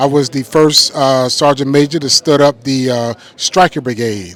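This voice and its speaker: There is noticeable background noise as a man speaks at a fairly high pitch and a moderate pace with ordinary pitch variation. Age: 60s. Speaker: war veteran. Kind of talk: testimony.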